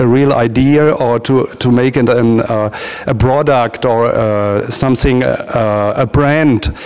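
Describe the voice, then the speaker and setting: A man's medium-pitched voice with a German accent, fairly slow with hardly any pauses, fairly even intonation and very even loudness, over noticeable background noise. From Germany. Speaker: transactional analysis practitioner. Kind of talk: interview. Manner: halting, many hesitations.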